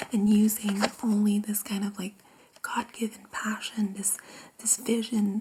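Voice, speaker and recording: Soft-spoken and monotone, a woman talks at a fairly slow pace. Background noise is noticeable. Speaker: tarot reader and energy healer. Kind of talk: ASMR tarot reading.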